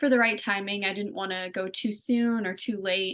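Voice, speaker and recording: The speaker has a slight Pennsylvania accent. Intonation stays fairly even. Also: woman. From Pennsylvania, US. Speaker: singer-songwriter. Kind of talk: interview. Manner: casual, many fillers.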